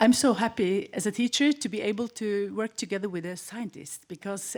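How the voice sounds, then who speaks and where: A woman's fairly high voice with a Norwegian accent. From Norway, Hemsedal. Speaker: teacher. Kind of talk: conference panel talk. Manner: halting.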